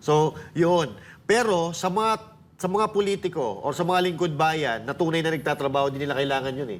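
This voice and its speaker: A man has a plain, everyday voice, pitched fairly high. He talks at a moderate pace with lively intonation. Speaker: political commentator. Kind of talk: casual commentary.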